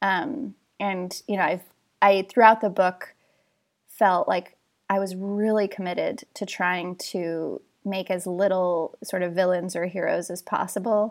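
In a very clean recording with a silent background, a woman talks at a fairly slow pace in an ordinary speaking voice. Her pitch is medium and her intonation fairly even. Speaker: author and journalist. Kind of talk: casual chat. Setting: podcast interview.

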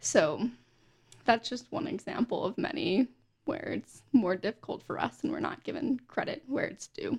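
An American accent from a woman with a high pitch and very wide pitch swings, in a dry, close sound with no echo. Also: moderate pace. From Pennsylvania and Florida. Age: young. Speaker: intern, college student. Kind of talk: casual chat.

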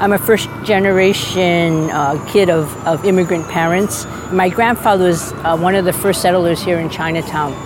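Against noticeable background noise, a woman with an American accent speaks at a fairly low pitch with fairly even intonation. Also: moderate pace. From Boston, US. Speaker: pastor. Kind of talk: testimony.

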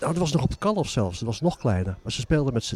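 A man's dark, mellow voice with vocal fry and very wide pitch swings. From Zaanstreek, North Holland, Netherlands. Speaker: author and music historian. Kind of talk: interview. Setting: former church, community centre.

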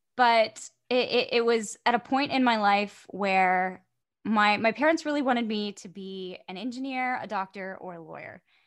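A woman with an American accent and an unremarkable speaking voice talks at a moderate pace in a fairly high pitch, her loudness swinging widely over a quiet background. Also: ordinary pitch variation. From Florida. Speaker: voice actor. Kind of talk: casual chat.

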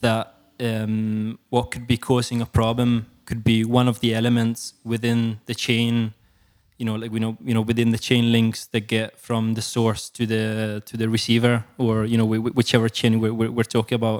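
A man with an Italian accent talks at a moderate pace in a flat monotone and medium pitch, recorded very cleanly against a silent background with a dry, close sound and no echo. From Italy, Perugia. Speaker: sound engineer. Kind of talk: casual interview. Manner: hesitant, many fillers and repetitions.

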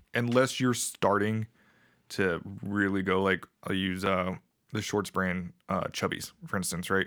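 An ordinary speaking voice from a man with an American accent, fairly low in pitch, fairly slow, with fairly even intonation, on a very clean recording with a silent background. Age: 30s. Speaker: military veteran. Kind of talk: casual chat.

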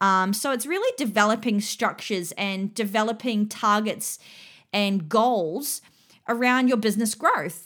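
Fairly high-pitched with ordinary variation, a woman with an Australian accent talks at a fairly slow pace. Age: 30s. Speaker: fitness business mentor and podcast host. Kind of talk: solo educational monologue. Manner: casual, with filler words.

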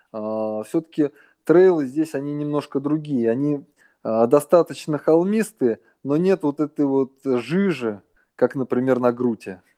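A man with a plain, everyday voice speaks at a fairly slow pace and a fairly high pitch, with ordinary pitch variation. The sound is dry and close, with no echo. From Russia. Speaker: runner and running coach. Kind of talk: interview.

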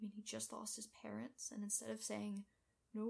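The clip is reading aloud in a natural voice. The text is read straight through.

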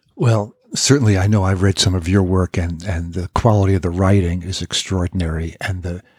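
On a very clean recording with a silent background, a man speaks in a fairly low pitch. His voice is somewhat breathy, with fairly even intonation. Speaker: podcast host. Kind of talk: interview. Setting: in person.

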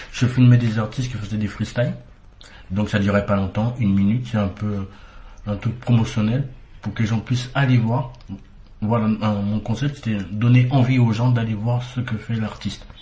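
A man talks at a moderate pace in a monotone, flat delivery with long, frequent pauses. His tone is dark and mellow, and somewhat breathy. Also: medium pitch for a man. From Martinique. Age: 40s. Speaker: painter, guest. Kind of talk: interview.

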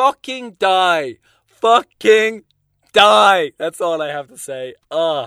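An animated man speaks at a high pitch. His voice moves in very wide pitch swings. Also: dry, close sound with no echo. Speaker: podcast host. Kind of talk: casual solo monologue. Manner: animated, profane, comedic.

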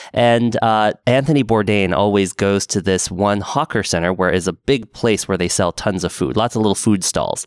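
A man with a Pacific Northwest accent speaks at a moderate pace and fairly low pitch, with ordinary pitch variation, very even loudness and hardly any pauses, on a very clean recording with a silent background and a dry, close sound with no echo. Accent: General American (Pacific Northwest). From Portland, Oregon. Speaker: podcast host. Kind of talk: casual chat.

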